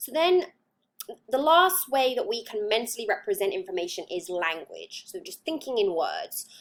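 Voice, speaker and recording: A woman with an English accent speaks at a moderate pace in a high pitch, her voice making very wide pitch swings and big swings in loudness. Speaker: psychology lecturer. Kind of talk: lecture. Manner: hesitant, many fillers.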